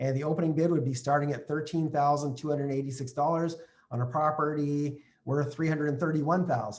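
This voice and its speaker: A somewhat breathy man with a fairly high pitch, at a fairly quick pace. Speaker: real estate investing trainer. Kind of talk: online training session. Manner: fast; animated.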